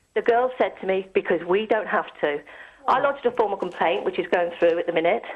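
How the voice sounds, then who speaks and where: Over noticeable background noise, a woman talks at a very fast pace in a medium pitch, with very wide pitch swings. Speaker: caller. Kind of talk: phone-in call. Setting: phone call. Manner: articulate, eloquent.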